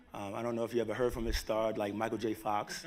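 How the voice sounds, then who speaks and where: The speaker has a New York accent. The recording is very clean, with a silent background. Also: man. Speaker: tech company executive. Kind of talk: conference talk. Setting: stage with live audience.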